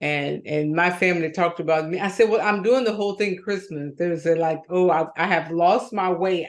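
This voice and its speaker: A woman has an ordinary speaking voice with a fairly low pitch and ordinary pitch variation. She talks at a moderate pace with hardly any pauses. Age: 60s. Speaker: co-host. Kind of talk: casual chat.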